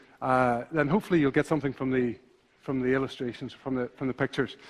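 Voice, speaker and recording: A man with a Northern Irish accent speaks against a quiet background. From Northern Ireland. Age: 40s. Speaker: visual thinker and illustrator. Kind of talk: conference talk. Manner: fast when passionate; halting, many fillers and repetitions.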